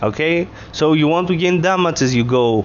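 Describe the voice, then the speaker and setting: The voice makes very wide pitch swings. Noticeable background noise runs underneath. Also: man. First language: not English. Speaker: gaming video creator. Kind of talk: tutorial. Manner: hesitant, many filler words.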